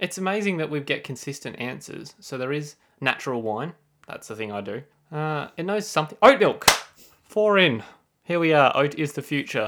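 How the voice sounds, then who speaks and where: A man with an Australian accent, fairly high in pitch, at a moderate pace with lively intonation and big swings in loudness. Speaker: podcast host. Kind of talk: casual chat.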